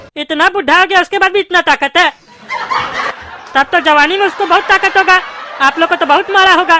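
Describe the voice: A cartoonish character voice pitched extremely high. It moves at a fairly quick pace.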